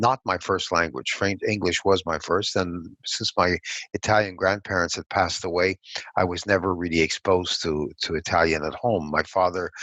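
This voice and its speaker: Man with a Montreal accent, very deep and low in pitch, at a moderate pace with fairly even intonation, in a dry, close sound with no echo against a quiet background. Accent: Montreal anglophone Canadian English. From Montreal, Quebec. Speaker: political strategist. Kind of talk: interview.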